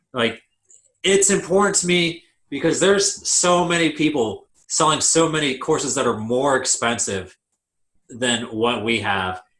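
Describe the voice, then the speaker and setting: Speaking at a fairly slow pace, a man with a fairly high pitch uses very wide pitch swings and vocal fry. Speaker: online seller and PPC consultant. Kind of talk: online course lecture.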